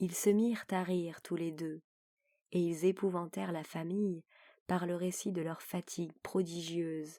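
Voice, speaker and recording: A woman speaks very slowly in a calm tone at a fairly low pitch. Her intonation is monotone and flat. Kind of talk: audiobook reading of a classic short story; sleep story. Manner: soft, calm.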